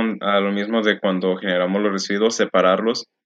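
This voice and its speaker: Flat, monotone intonation from a man pitched fairly low. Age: 20s. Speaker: eco-parenting social media creator. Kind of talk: interview.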